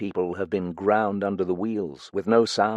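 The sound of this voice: An unforced reading voice, intonation mostly even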